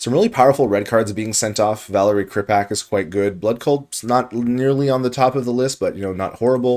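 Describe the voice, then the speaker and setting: Mumbling at a fairly quick pace, a man speaks at a medium pitch. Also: ordinary pitch variation, hardly any pauses. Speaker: card game draft commentator. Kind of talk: gameplay commentary.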